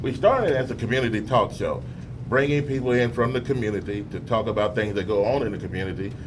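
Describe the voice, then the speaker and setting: Talking at a very fast pace, a man keeps a medium pitch and fairly even intonation. Noticeable background noise and audible room echo surround him. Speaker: radio talk show host. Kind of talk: interview. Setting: studio with audience. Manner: hesitant fillers.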